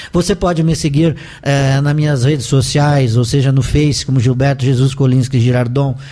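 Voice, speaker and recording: Through noticeable background noise, a man with a fairly high pitch speaks at a moderate pace with fairly even intonation. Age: 60s. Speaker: life coach and professor. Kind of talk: interview testimony. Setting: radio studio.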